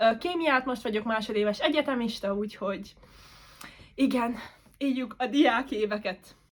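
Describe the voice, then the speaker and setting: With a Hungarian accent, a woman talks at a fairly quick pace and a fairly high pitch. Her pitch variation is ordinary, and her pauses are long and frequent. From Romania, Hungarian minority. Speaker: student vlogger. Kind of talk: casual chat.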